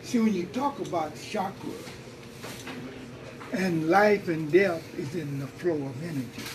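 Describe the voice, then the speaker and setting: The speech moves at a fairly slow pace, broken by long, frequent pauses, with lively intonation. Noticeable background noise runs underneath. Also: man, high pitch for a man. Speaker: spiritual elder, teacher. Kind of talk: interview answer, teaching talk.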